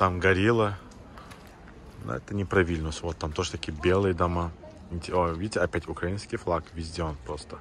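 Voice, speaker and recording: A man with a very deep, low pitch speaks at a moderate pace with fairly even intonation and long, frequent pauses, the sound dry with no echo over light background noise. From Azerbaijan. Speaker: vlogger. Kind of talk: casual travel vlog narration. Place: street. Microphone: phone near.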